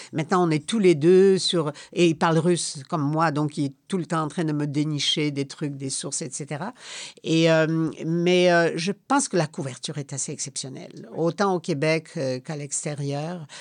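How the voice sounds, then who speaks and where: A woman with a Polish accent speaks at a very deep, low pitch and a fairly slow pace. Her intonation stays fairly even against a quiet background. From Poland, then Quebec. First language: Polish (speaking French). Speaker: retired foreign correspondent. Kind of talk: interview. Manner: hesitant, with repetitions.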